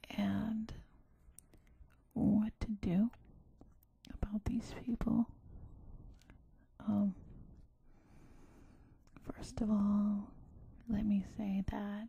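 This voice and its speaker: At a very slow pace, the soft-spoken speaker talks. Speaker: ASMR creator. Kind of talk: ASMR soft-spoken self-help talk.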